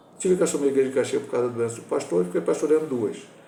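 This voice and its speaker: A man speaks with lively intonation in a fairly high voice. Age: 60s. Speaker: pastor. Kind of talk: Sunday school Bible lesson. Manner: informal, conversational teaching.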